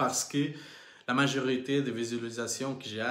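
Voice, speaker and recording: A man speaks with audible room echo around him. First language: Portuguese (speaking French). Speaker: crypto investing vlogger. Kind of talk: live stream monologue. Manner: halting, many hesitations.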